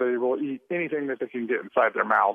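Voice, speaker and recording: Fairly high-pitched male voice, its pitch varying in an ordinary way. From US Midwest, Missouri. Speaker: wildlife biologist. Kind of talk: phone interview. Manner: hesitant, with frequent fillers.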